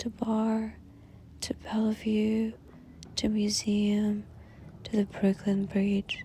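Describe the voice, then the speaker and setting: A woman is whispering in a soft-spoken way. Noticeable background noise sits behind her. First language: Russian. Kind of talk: ASMR poetry reading. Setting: ambient music background, hand sounds. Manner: soft-spoken, whispery.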